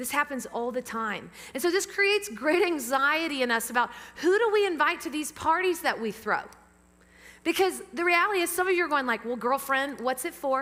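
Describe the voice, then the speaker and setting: In a Southern US accent, a woman with a high pitch speaks in a raised, projected voice at a fairly quick pace, her tone bright, sharp and animated, with lively intonation. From US South. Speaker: pastor. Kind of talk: sermon. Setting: church; PA system. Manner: fast.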